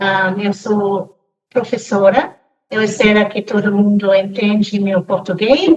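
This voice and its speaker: A woman with an English accent speaks at a very slow pace. Her medium-pitched voice is somewhat breathy, with fairly even intonation. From Cameroon, raised in a family from abroad. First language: English (speaking Portuguese). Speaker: teacher. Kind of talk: casual podcast interview. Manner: halting, with hesitations.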